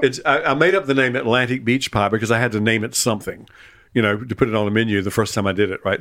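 A man with a Southern US accent, talking at a very fast pace. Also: very clean recording, silent background. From Eastern North Carolina, US South. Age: 70s. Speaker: retired chef and writer. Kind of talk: casual chat. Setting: at home in his kitchen. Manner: halting, repeats words.

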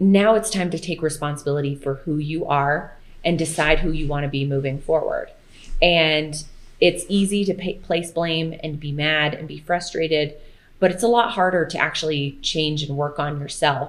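A woman's very deep, low voice with fairly even intonation at a moderate pace. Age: 30s. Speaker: food blogger and fitness creator. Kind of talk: casual chat.

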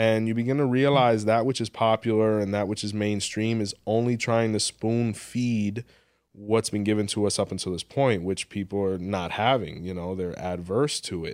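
With an American accent and a normal speaking voice, a man talks at a moderate pace and with fairly even intonation on a very clean recording with a silent background. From Miami, Florida (Hialeah). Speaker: spiritual practitioner and podcaster. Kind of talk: interview.

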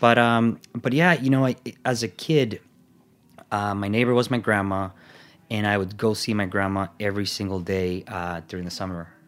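In a Salvadoran accent, a man speaks with a fairly low pitch and ordinary pitch variation. The recording is very clean, with a silent background. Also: moderate pace. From El Salvador. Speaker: food company sales executive. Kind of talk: interview.

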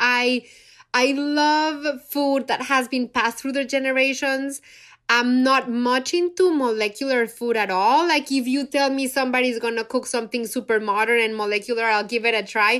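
Recorded very cleanly over a silent background, a woman with a Spanish accent speaks in a high pitch with an animated tone. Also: ordinary pitch variation, moderate pace. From Mexico City. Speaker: chef and cookbook author. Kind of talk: casual chat.

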